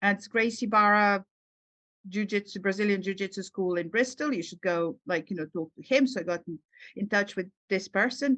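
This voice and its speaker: A woman's medium-pitched voice with a Serbian accent, bright and sharp in tone, at a moderate pace, dry and close with no echo against a quiet background. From Serbia, Belgrade. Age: 40s. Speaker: psychologist and writer. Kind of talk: podcast interview. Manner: halting, many fillers.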